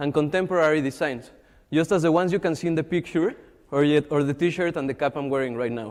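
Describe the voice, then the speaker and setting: A man talks at a fairly quick pace in a Mexican accent. His pitch is fairly high, with ordinary variation. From Mexico. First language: Spanish. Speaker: social entrepreneur. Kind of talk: pitch presentation.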